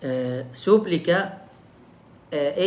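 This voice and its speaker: A man with a non-native accent talks very slowly with ordinary pitch variation, and the room echoes audibly. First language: Arabic (speaking Portuguese). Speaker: imam giving religious lectures. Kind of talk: religious lecture livestream. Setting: online live stream. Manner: halting, many fillers.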